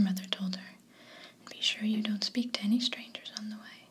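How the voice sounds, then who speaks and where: Against noticeable background noise, a soft-spoken woman whispers at a fairly quick pace. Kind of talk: bedtime story reading. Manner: whispered, soft-spoken.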